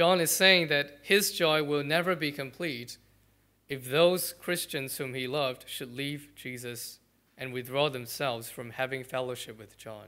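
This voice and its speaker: Over a very clean recording with a silent background, a man speaks fairly slowly with a bright, sharp tone and a fairly high pitch. His pitch varies in an ordinary way, while his loudness swings widely. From Malaysia. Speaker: pastor. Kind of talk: sermon.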